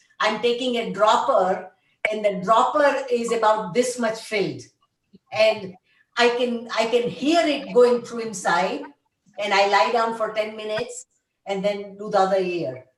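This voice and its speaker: In a room with audible echo, a woman speaks at a fairly slow pace in a fairly high pitch. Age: 70s. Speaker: conference participant. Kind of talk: group video call discussion. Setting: video call.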